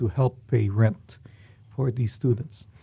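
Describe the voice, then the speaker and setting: Somewhat breathy and dark and mellow in tone, a man speaks at a medium pitch with ordinary pitch variation, the sound dry and close with no echo. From Philippines. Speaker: university president. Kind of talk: interview.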